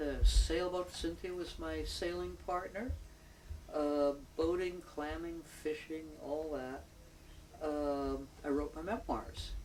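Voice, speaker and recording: With audible room echo and noticeable background noise, a woman speaks very slowly, leaving long, frequent pauses. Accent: American. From New York City, Manhattan. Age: 70s. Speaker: retired poet and local community member. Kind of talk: oral history interview. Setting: at home.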